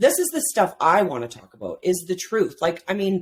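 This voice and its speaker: A loud woman with an animated tone, vocal fry, very wide pitch swings and a fairly quick pace. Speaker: men's life coach. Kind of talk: podcast interview. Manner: talkative, animated.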